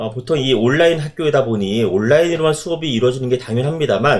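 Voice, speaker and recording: A man talks with lively intonation in a fairly high pitch. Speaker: design professor. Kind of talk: casual chat. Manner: fast.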